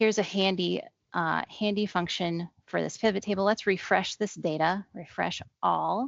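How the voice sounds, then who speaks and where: A woman at medium pitch speaks with vocal fry, fairly even intonation and a moderate pace. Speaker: Excel trainer. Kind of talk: tutorial.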